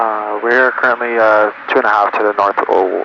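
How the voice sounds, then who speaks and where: A man with a medium-pitched voice speaks in a monotone, flat manner over noticeable background noise. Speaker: flight instructor. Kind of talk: in-flight instruction and casual chat. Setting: small airplane cockpit. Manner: fast.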